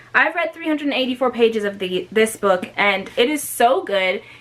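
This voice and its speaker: Against noticeable background noise, a woman with a fairly high pitch talks in an animated tone with lively intonation. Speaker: booktuber. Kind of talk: casual vlog talk to camera.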